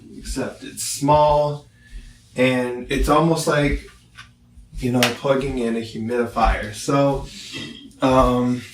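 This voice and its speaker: Pausing long and often, a man with a medium pitch speaks at a very slow pace amid noticeable background noise and audible room echo. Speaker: product reviewer, visually impaired. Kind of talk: casual product review. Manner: loud, projecting voice.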